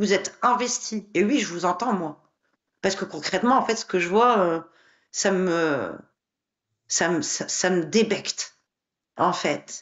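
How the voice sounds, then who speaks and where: Speech at a very slow pace, broken by long, frequent pauses, with ordinary pitch variation. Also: woman, medium pitch for a woman. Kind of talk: heated debate. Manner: animated.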